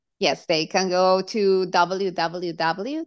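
A woman speaks with a Colombian accent. Her pitch sits in the medium range. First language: Spanish. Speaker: hypnotherapist. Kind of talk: interview.

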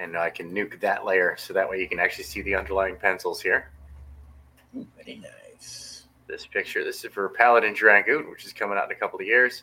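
Though his pace is fairly quick, the man's speech is broken by long pauses that come often. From US West Coast, San Francisco Bay Area. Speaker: indie comic book artist. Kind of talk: casual interview chat.

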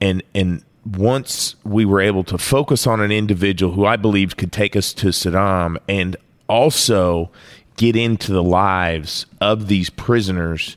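A man speaks in an ordinary speaking voice at a fairly low pitch and fairly slow pace, with fairly even intonation and very even loudness, on a very clean recording with a silent background. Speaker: former military interrogator. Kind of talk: interview storytelling.

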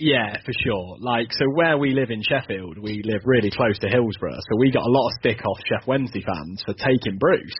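Against noticeable background noise, a man with a southern English accent speaks at a moderate pace with hardly any pauses, medium pitch, and ordinary pitch variation. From southern England. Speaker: football fan guest. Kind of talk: casual chat.

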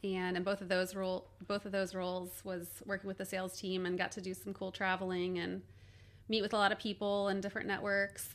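At a fairly quick pace, a woman with a Midwestern American accent speaks in a medium pitch with monotone, flat intonation. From Cincinnati, Ohio, US Midwest. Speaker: corporate marketing and supply chain manager. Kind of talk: podcast interview. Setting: studio.

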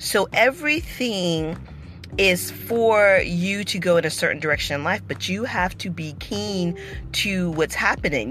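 A woman with an animated tone at a fairly slow pace, against noticeable background noise. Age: 40s. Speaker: vlogger and former nanny. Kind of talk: casual monologue vlog.

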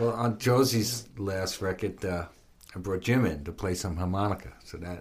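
A man talks at a moderate pace. His voice sits fairly low, with noticeable background noise behind it. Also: ordinary pitch variation. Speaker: guitarist and music producer. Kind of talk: casual interview chat.

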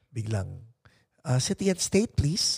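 A somewhat breathy man with a Filipino accent, in a very clean, dry, close recording with a silent background and no echo. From Philippines. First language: Tagalog. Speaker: podcast host. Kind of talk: casual chat. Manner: animated.

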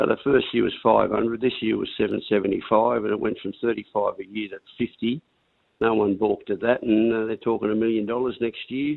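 Here a man with an Australian accent speaks at a medium pitch and moderate pace. His intonation is monotone and flat. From Australia, Northern Rivers NSW. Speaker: racehorse owner. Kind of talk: casual chat.

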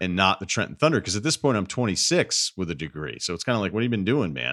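A man's very fast, lively speech with vocal fry, dry and close with no echo, on a very clean recording with a silent background. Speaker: sports radio host. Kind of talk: interview conversation.

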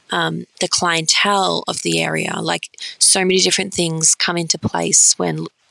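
A woman with an Australian accent talks at a fairly slow pace, recorded dry and close without echo. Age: 20s. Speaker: pastry chef and dessert bar owner. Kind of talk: interview.

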